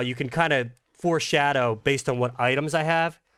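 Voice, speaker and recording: A man with a Philadelphia accent and fairly high pitch, animated and with ordinary pitch variation, his tone bright and sharp. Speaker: gaming YouTuber. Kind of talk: gameplay commentary. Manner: casual, animated.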